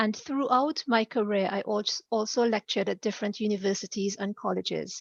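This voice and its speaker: Fairly quick speech with fairly even intonation and a slight Caribbean accent. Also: woman. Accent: slight Caribbean twang. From Trinidad. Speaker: executive director and career coach. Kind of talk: interview.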